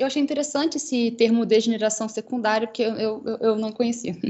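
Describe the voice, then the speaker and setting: Her voice is high for a woman, and its pitch varies in an ordinary way. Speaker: researcher presenting at journal club. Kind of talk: academic presentation. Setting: online livestream. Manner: fast.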